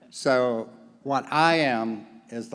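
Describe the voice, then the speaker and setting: A man with a slight Southern US accent speaks at medium pitch with ordinary pitch variation. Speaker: volunteer organization leader. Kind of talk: conference report. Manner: animated.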